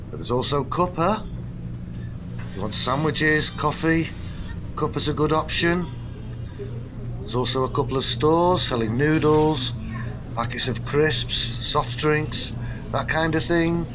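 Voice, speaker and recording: With clear music in the background, a man speaks at a fairly slow pace with long, frequent pauses. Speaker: travel vlogger. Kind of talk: travel guide commentary. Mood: relaxed, lightly wry. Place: station.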